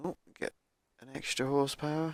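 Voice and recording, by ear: A man's fairly high pitch, fairly quick pace, and little pitch movement.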